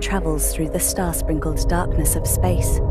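Loud music plays behind a woman's voice. The sound is dry, with no echo. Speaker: audio describer. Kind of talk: audio description narration.

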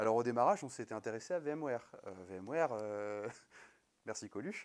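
Fairly quick pace and ordinary pitch variation, in a quiet background. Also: man. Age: 20s. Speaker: network engineer and conference speaker; conference speaker. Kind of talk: conference talk. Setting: stage with audience. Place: hall.

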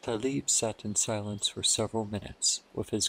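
What we hear is plain reading aloud.

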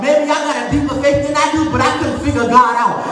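A man speaks at an extremely high pitch with ordinary pitch variation. Noticeable background noise and audible room echo fill the recording. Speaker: preacher. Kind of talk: funeral sermon, preaching to a congregation. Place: church. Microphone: camera far.

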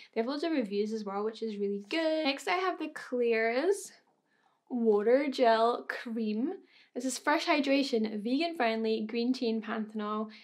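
A woman talks at a fairly slow pace in a Scottish accent, her pitch fairly high and her intonation lively. Behind her, the background is quiet. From Scotland. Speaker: beauty YouTuber. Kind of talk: casual talk to camera. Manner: chatty, enthusiastic. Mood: excited, enthusiastic. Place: home room.

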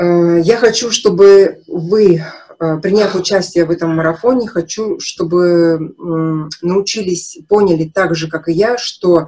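Very slow in pace, a woman speaks in a dark, mellow tone with ordinary pitch variation. The background is quiet. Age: 50s. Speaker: nutrition consultant, naturopathy student; naturopath webinar host. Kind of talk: webinar lecture with sales pitch. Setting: live online broadcast. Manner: animated. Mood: frank, emphatic, personal. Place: home room. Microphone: webcam.

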